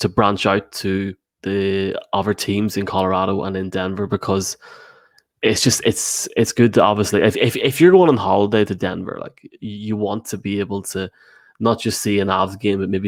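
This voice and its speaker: A man with an Irish accent talks at a moderate pace and a fairly low pitch. His intonation is fairly even, with a dry, close sound with no echo. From Ireland. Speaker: sports podcast host. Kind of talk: casual chat. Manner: halting.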